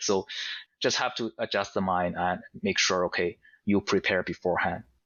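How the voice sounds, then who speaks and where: With a strong non-native accent, a man speaks at a moderate pace and a fairly low pitch. Long, frequent pauses break up his speech. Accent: heavy foreign. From Asia. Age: 40s. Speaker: podcast guest. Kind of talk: casual interview chat. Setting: audio-only podcast. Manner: halting, repeats words.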